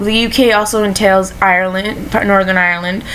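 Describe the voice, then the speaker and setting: Amid noticeable background noise and audible room echo, a woman with an American accent speaks at medium pitch and a moderate pace. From coastal Maine, US. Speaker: vlogger. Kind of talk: casual vlog monologue. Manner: halting, many self-corrections.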